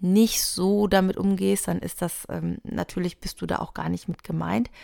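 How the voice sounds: A dark, mellow tone with vocal fry and fairly even intonation comes through in a very clean recording with a silent background. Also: woman.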